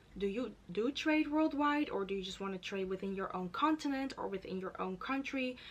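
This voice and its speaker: Hardly pausing, a woman speaks at a fairly quick pace in a fairly high voice. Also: lively intonation. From Netherlands. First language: Dutch. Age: 20s. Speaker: YouTuber. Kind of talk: tutorial. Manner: casual, filler-heavy.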